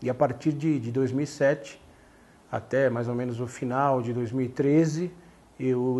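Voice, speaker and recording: The man's voice has a dark, mellow tone. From Brazil, São Paulo. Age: 40s. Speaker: sports journalist and author; sports journalist. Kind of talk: interview monologue about his book. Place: home room. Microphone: lapel.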